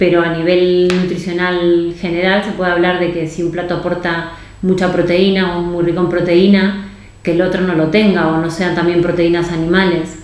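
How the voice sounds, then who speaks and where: A woman with a fairly low voice speaks in a monotone, flat intonation at a moderate pace, with audible room echo and noticeable background noise. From Argentina. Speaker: nutritionist. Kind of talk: interview.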